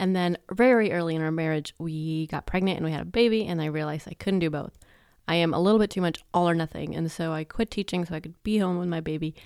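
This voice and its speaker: In a very clean recording with a silent background, a soft-spoken woman with a fairly low pitch talks at a very fast pace with fairly even intonation. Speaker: podcast host and sleep consultant. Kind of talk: casual monologue. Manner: trails off softly at the end of sentences.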